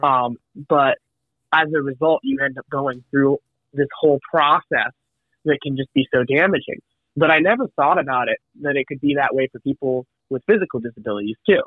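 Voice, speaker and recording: Speaking at a fairly quick pace with an American accent, a man uses a fairly high pitch and ordinary pitch variation, broken by long, frequent pauses. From Massachusetts. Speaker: student and co-author. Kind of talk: interview. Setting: phone call.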